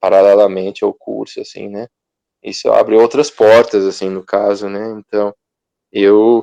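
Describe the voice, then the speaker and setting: A man at a fairly slow pace with big swings in loudness, in a dry, close sound with no echo. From Brazil, interior of Paraná. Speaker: control and automation engineer. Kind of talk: interview. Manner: casual, filler-heavy.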